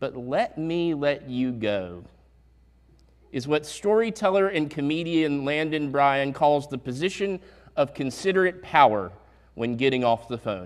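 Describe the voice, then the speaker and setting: On a very clean recording with a silent background, a man with a Southern US accent speaks at a fairly slow pace in a fairly high voice with very wide pitch swings. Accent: southern drawl. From US South, Statesville, North Carolina. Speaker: pastor. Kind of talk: sermon. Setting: church.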